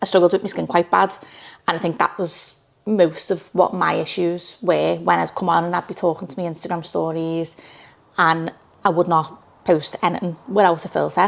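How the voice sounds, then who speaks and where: Speaking with a Liverpool accent, a woman uses a fairly low pitch, vocal fry, and monotone, flat intonation at a moderate pace. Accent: Scouse. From Liverpool, England. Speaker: social media creator. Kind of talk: interview. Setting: studio. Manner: loud.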